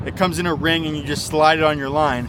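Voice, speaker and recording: There is noticeable background noise behind a man whose voice is fairly high in pitch. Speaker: fishing vlogger and guide. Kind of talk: casual outdoor vlog and tutorial. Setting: outdoors by a lake. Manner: quiet, holding back volume.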